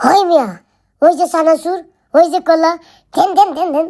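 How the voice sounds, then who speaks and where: This is a squeaky, put-on character voice with an extremely high pitch. It moves at a fairly quick pace. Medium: comedy sketch. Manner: exaggerated, childish babbling.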